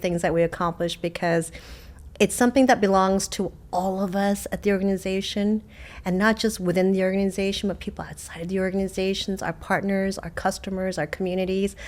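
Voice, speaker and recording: A woman with a Korean accent, medium in pitch, at a fairly quick pace with big swings in loudness. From South Korea, moved to US at age eight. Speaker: water district general manager. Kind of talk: interview.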